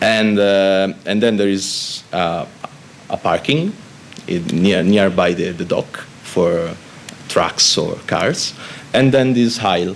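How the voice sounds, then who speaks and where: A man with an Italian accent and a fairly low pitch, very slow delivery with long, frequent pauses, over noticeable background noise. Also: ordinary pitch variation. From Italy. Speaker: Red Cross spokesperson on migration. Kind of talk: panel discussion. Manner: halting, many fillers and repetitions.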